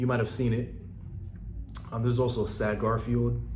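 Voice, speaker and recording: A man's voice with audible room echo. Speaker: small business owner and social media creator. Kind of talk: informational tutorial. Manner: casual with many fillers.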